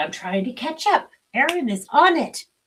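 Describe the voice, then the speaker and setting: High-pitched, a woman's voice moves through very wide pitch swings. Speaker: spiritual livestream host. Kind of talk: casual livestream chat. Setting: live video stream.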